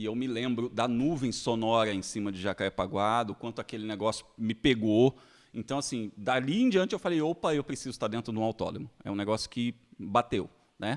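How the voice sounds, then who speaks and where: A man with a strong Carioca accent speaks at a fairly quick pace and medium pitch, with ordinary pitch variation. The recording is very clean, with a silent background. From Rio de Janeiro, Brazil. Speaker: journalist and content creator. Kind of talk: podcast interview, casual chat.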